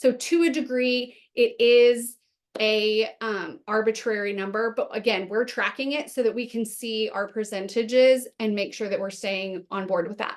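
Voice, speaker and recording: Woman's fairly high voice with ordinary pitch variation and hardly any pauses, over a quiet background. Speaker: webinar presenter. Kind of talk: webinar presentation. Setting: online webinar. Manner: fast.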